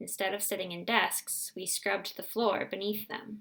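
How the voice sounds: A natural reading voice moves through the text with fairly even intonation.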